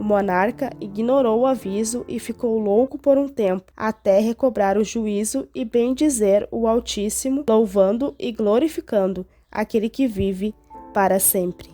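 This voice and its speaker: A woman at a fairly slow pace, with ordinary pitch variation and music in the background. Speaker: Bible teacher. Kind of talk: Bible story narration.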